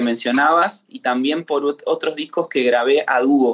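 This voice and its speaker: At a fairly slow pace, a man with a normal speaking voice and a fairly high pitch shows ordinary pitch variation. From Argentina, Chapadmalal. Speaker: singer-songwriter. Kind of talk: casual interview.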